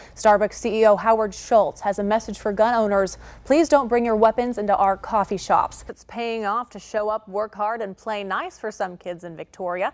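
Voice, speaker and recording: A woman's fairly high-pitched voice at a moderate pace, with big swings in loudness, ordinary pitch variation, hardly any pauses, and a plain, everyday voice. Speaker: television news anchor. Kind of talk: local TV news anchor delivery.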